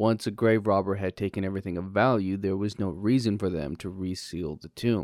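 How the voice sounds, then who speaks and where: A man with a normal speaking voice talks at a moderate pace in a fairly low pitch with fairly even intonation, recorded very cleanly against a silent background. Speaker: podcast host. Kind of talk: history podcast narration, scripted and storytelling. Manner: conversational and jokey, with a lightly comic tone.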